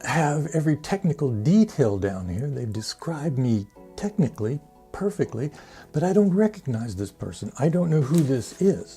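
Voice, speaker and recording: Over music in the background, a man speaks at a moderate pace with a fairly high pitch. His pitch swings very widely. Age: 70s. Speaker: longevity challenge host. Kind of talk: casual talk to camera.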